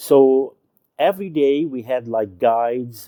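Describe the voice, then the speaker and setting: A man with a Lebanese accent has a dark, mellow tone. He speaks at a very slow pace, recorded dry and close with no echo. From Lebanon. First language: Arabic. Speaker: YouTube show host, former journalist and TV presenter. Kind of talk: casual storytelling monologue. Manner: halting, with frequent fillers.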